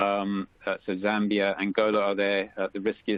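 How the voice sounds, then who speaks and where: Here a man talks in a monotone with flat intonation, fairly low in pitch, at a moderate pace, with a slight South African accent. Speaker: economist. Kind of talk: webinar presentation. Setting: webcast, remote call. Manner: halting, many fillers.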